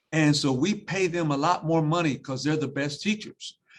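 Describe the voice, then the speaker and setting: Against a quiet background, a man with a fairly high pitch speaks fairly quickly with ordinary pitch variation in an unremarkable speaking voice. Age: 60s. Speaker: school superintendent. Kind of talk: panel discussion.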